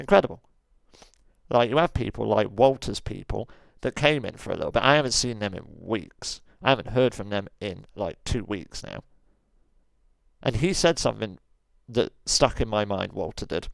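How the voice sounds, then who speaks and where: Pausing long and often, a man talks at a moderate pace with lively intonation and vocal fry. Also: medium pitch for a man. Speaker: streamer and roleplay gamer. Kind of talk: rant.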